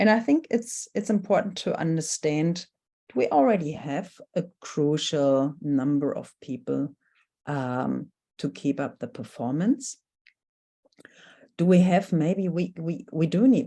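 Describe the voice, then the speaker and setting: With a German accent, a woman speaks at a fairly slow pace in a dark, mellow tone, her intonation lively. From Germany. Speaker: workshop facilitator. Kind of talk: workshop presentation. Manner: hesitant, many fillers.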